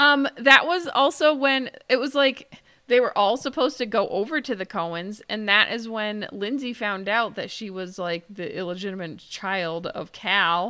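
With an American accent and a bright, sharp tone, a woman speaks at a moderate pace with lively intonation. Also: fairly high pitch for a woman, hardly any pauses, big swings in loudness. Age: 40s. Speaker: podcast co-host. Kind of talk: casual chat. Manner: animated.

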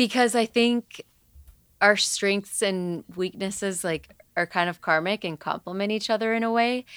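A woman's plain, everyday voice at medium pitch and moderate pace, with ordinary pitch variation, a dry, close sound with no echo, and a very clean recording with a silent background. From Puerto Rico, raised in Atlanta, US. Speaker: musician. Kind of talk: casual interview.

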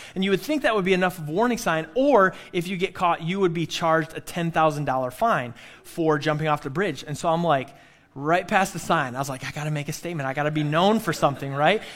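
Speaking with an American accent at a fairly quick pace, a man uses a normal speaking voice, his fairly high pitch showing ordinary variation. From Michigan. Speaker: pastor. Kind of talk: sermon. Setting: church.

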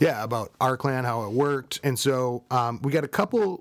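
Speaking fairly slowly with a Minnesotan accent, a man uses a medium pitch. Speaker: podcast co-host.

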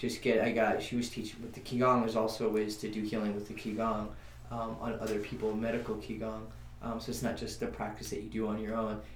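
A very fast man's voice, fairly low in pitch and monotone, flat in intonation, with audible room echo. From New Mexico. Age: 30s. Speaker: musician and Reiki healer. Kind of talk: casual interview. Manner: halting.

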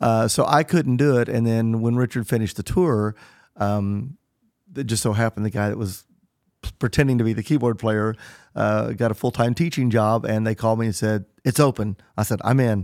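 An American man talks at a fairly quick pace in an ordinary speaking voice, medium in pitch with ordinary pitch variation. The sound is dry and close with no echo, and the recording is very clean over a silent background. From Southern Illinois. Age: 50s. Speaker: touring musician. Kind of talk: interview.

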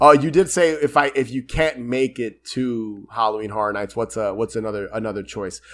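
An unremarkable speaking voice at a fairly quick pace, hardly any pauses, and ordinary pitch variation. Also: man, medium pitch for a man. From New York. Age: 30s. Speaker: podcast host. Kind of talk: casual chat.

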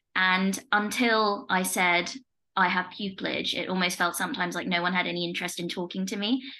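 Her voice sits fairly low for a woman, with vocal fry, ordinary pitch variation and a bright, sharp tone. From Leicester, England. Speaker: podcast host and family law barrister. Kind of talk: casual interview chat.

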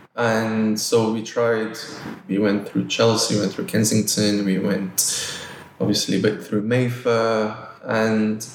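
Over noticeable background noise, a man with a fairly low pitch speaks at a moderate pace in a monotone, flat delivery. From Nigeria, Lagos. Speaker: art gallery director. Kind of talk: interview conversation.

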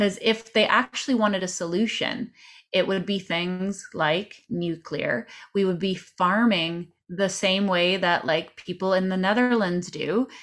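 A woman with a Canadian accent speaks at a medium pitch. Her pace is fairly slow, her pitch variation ordinary. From Canada. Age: 30s. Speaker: podcaster and political commentator. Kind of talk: casual chat. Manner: animated.

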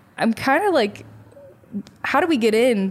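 A woman speaks with an American accent. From US Midwest, Chicago north suburbs. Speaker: podcast co-host, small business owner. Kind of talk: casual chat.

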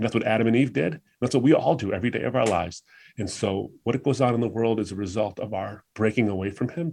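A man with an American accent talks at a very fast pace, at a medium pitch with ordinary pitch variation. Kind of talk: casual interview discussion.

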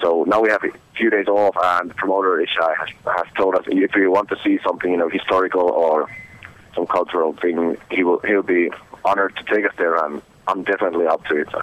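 A man with a Finnish accent speaks in a very deep, low voice, flat and monotone, at a fairly quick pace. His loudness stays very even, and background noise is noticeable. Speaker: metal band musician. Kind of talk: interview. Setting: phone call.

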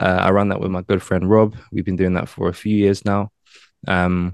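In a London accent, a man speaks at a fairly low pitch with flat, monotone intonation in dry, close sound with no echo. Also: quiet background. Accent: British, London. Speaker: branding business owner and podcaster. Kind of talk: casual interview conversation.

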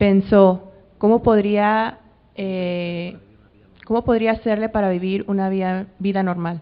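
The delivery is very slow. Intonation stays monotone and flat. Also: woman, medium pitch for a woman. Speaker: interpreter. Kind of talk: live interpretation. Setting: stage with audience.

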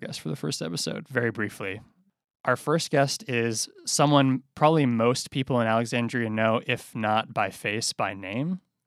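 With an unremarkable speaking voice, a man talks at a moderate pace and medium pitch with lively intonation, on a very clean recording with a silent background and a dry, close sound with no echo. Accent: American. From Boston. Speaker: newspaper reporter and podcast host. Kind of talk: casual chat.

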